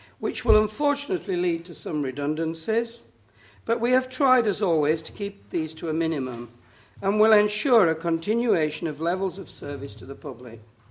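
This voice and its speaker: With a northern English accent, the speaker moves at a fairly quick pace through very wide pitch swings against a quiet background. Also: man, high pitch for a man. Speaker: councillor presenting budget. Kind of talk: formal budget speech. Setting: council chamber meeting. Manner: formal.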